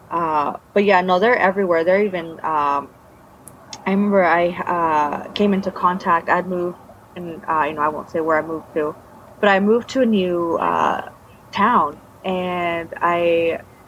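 Over noticeable background noise, a woman with a fairly low pitch speaks at a moderate pace with fairly even intonation and long, frequent pauses. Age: 30s. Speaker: former cult member. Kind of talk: testimony; casual chat.

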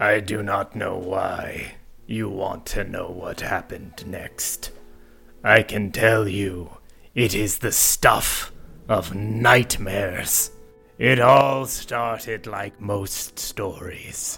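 The man's voice is raspy and medium in pitch. He speaks at a very slow pace. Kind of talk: grave formal fantasy speech. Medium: actual play. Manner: solemn, deadpan, no contractions.

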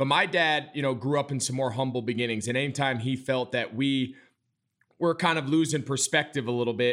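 A man with an American accent uses an ordinary speaking voice at medium pitch and a fairly quick pace. His intonation stays fairly even, in a very clean recording with a silent background. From New York suburbs. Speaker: podcast host, former NFL tight end. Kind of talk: casual interview.

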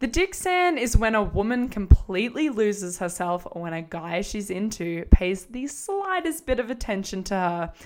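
With an Australian accent, a woman speaks at a moderate pace in a fairly high pitch, her pitch swinging very widely with hardly any pauses, on a very clean recording with a silent background. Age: 20s. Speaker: podcast host, former reality TV contestant. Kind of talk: casual monologue. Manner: animated.

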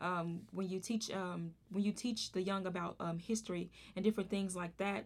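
With a Southern US accent, a woman speaks at a moderate pace and medium pitch with fairly even intonation. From Arkansas. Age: 30s. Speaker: podcast host. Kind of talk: casual interview.

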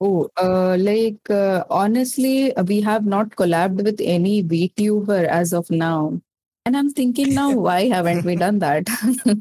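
A woman's medium-pitched voice with a dark, mellow tone, ordinary pitch variation, very even loudness, and a fairly slow pace, in a dry, close sound with no echo. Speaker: VTuber content creator. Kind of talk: casual interview.

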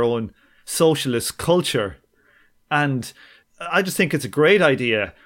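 With an Irish accent, a man talks at a moderate pace in a medium pitch and lively intonation. The recording is very clean, with a silent background. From Ireland. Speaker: podcast host. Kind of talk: casual interview chat.

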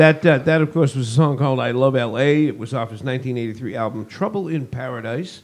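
In a Boston accent, a man speaks at medium pitch with ordinary pitch variation. His pace is moderate, with hardly any pauses. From US Northeast (Boston area). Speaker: podcast co-host. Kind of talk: casual chat.

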